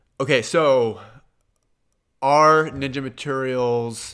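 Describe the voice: In a very clean recording with a silent background, a man with a Midwestern American accent speaks slowly at medium pitch in a clear, smooth tone.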